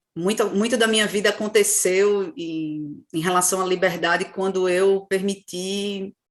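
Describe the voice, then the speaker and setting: In a Pernambuco accent, a woman speaks at a fairly slow pace with hardly any pauses. Her pitch is medium and her intonation fairly even. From Brazil, Recife (Pernambuco). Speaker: podcast co-host. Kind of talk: casual chat.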